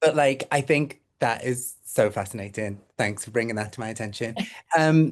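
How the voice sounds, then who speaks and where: Someone with a Liverpool accent speaks at a moderate pace. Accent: Scouse. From Liverpool, England. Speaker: trend forecasting team member. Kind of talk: casual panel discussion.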